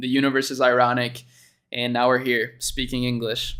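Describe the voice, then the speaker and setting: A man with a Spanish accent speaks at a moderate pace, his medium pitch carrying a bright, sharp tone. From Chile. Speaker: YouTuber reacting to a dropshipping video. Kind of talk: casual reaction commentary. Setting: livestream. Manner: casual, filler-heavy (um, like).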